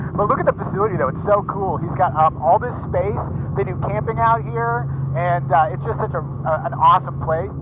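A man at a fairly quick pace with ordinary pitch variation, in a dry sound with no echo and with noticeable background noise. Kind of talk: casual vlog chat. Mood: cheerful, relaxed. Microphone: headset.

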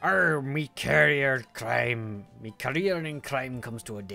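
Growling in a put-on character voice, a man talks at a fairly slow pace with a medium pitch. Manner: pirate voice, growly.

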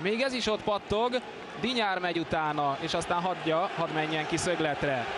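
Over noticeable background noise, a man with a high pitch speaks with lively intonation, an animated tone and very even loudness. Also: moderate pace. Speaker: football commentator. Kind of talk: live commentary.

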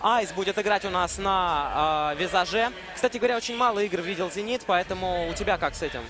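A man's high-pitched voice at a fairly quick pace, with ordinary pitch variation and noticeable background noise. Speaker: esports commentator. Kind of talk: live commentary.

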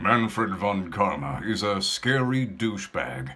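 A man does a put-on character voice at a fairly low pitch. His pitch swings very widely at a fairly slow pace. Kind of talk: casual vlog chat. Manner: menacing.

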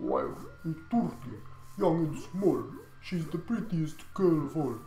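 Someone speaks in a put-on character voice at a middle pitch and a fairly slow pace, with clear background noise.

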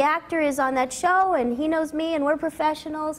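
A high-pitched woman with an American accent, fairly quick and fairly even in intonation. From Los Angeles, US. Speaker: voice actress. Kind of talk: interview before an audience. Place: studio.

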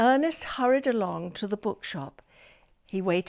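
What comes through is a natural reading voice.

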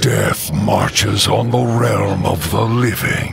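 Putting on a character voice, a man speaks at a slow pace with vocal fry and big pitch swings over faint background noise. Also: fairly low pitch for a man.

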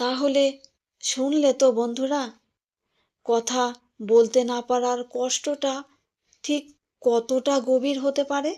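Intonation is monotone and flat. The voice carries a dark, mellow tone. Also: woman, high pitch for a woman. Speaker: storyteller. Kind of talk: personal storytelling narration. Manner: intimate, addressing listener directly.

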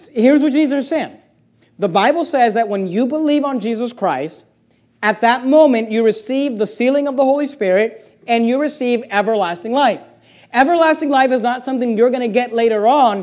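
A fairly quick pace with ordinary pitch variation. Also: man, extremely high pitch for a man, quiet background. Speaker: pastor. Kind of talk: sermon. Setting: church. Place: church.

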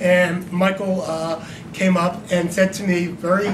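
Over noticeable background noise, a man talks in a high pitch with a monotone, flat intonation. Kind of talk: speech to an audience. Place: hall. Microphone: camera far.

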